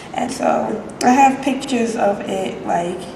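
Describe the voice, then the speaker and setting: The speaker has an American accent and lively intonation. Noticeable background noise and audible room echo fill the recording. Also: woman. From US, Maryland (Prince George's County). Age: 20s. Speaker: art student. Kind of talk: casual chat. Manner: casual, hesitant with fillers.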